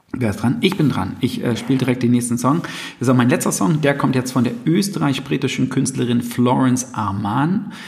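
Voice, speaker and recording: A medium-pitched male voice at a fairly quick pace over noticeable background noise. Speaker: music podcast host. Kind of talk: casual chat. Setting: living room in a flat. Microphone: poor sound, echoey room.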